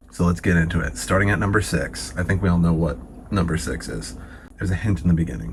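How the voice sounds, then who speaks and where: With noticeable background noise behind him, a man with a very deep, low pitch talks at a very fast pace and with lively intonation. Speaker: dating coach. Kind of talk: casual monologue to camera. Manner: animated.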